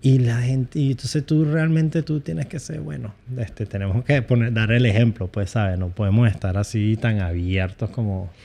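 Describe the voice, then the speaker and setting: A man talks at a moderate pace with hardly any pauses, lively intonation, medium pitch and a dark, mellow, somewhat breathy tone. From United States, Venezuelan family. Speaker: YouTuber. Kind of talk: casual chat.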